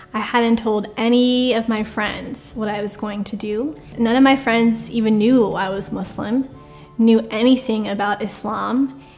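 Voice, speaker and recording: With a General American accent, a woman speaks fairly slowly at a fairly high pitch with ordinary pitch variation over noticeable background noise. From California, USA. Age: 20s. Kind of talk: interview answer.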